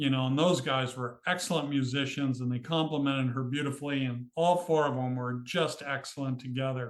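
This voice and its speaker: A man speaks in a plain, everyday voice at a medium pitch, with fairly even intonation and a moderate pace. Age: 60s. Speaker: author and cemetery photographer. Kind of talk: interview.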